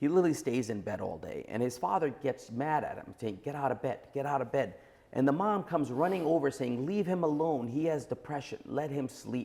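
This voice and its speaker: With a New York accent, a man talks at a moderate pace in a fairly high pitch with ordinary pitch variation. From Brooklyn, New York. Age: 40s. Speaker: entrepreneur. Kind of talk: podcast interview.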